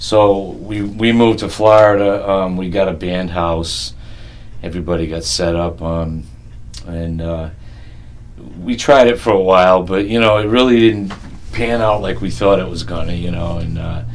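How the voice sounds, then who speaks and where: A man speaks with a very deep, low pitch and ordinary pitch variation. Audible room echo and noticeable background noise fill the recording. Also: moderate pace. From Rhode Island, South County. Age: 50s. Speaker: blues musician. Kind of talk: oral history interview.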